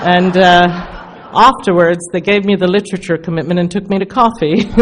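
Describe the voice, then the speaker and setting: Over noticeable background noise, a woman talks at a fairly quick pace in a medium pitch. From England, London. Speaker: recovery speaker. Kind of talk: testimony. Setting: stage with audience. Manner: animated.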